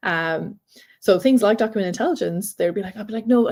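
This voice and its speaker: Speaking at a very fast pace, a woman uses lively intonation in a medium-pitched voice with a dark, mellow tone. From Ireland. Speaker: data and AI consultant. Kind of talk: conference tech talk. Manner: fast when nervous.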